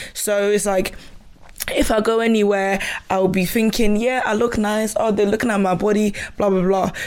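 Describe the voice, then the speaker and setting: Speaking at a moderate pace, a woman keeps a medium pitch, a flat monotone and very even loudness against noticeable background noise. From Ghana. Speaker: podcast co-host. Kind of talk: casual chat. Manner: halting.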